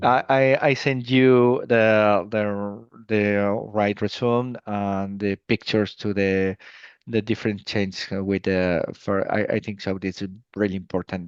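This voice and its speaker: At a fairly slow pace, a man with a Spanish accent speaks with fairly low pitch and fairly even intonation. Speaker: emergency medical physician. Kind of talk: interview. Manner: halting.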